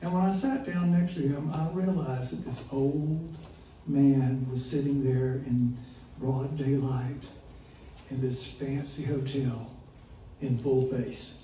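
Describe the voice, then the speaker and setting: At a very slow pace with long, frequent pauses, a man speaks in a Southern US accent, at a medium pitch with ordinary pitch variation. Noticeable background noise and audible room echo fill the recording. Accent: Southern US (Georgia). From US South, small-town Georgia. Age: 70s. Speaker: storyteller. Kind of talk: live storytelling. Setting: stage with audience.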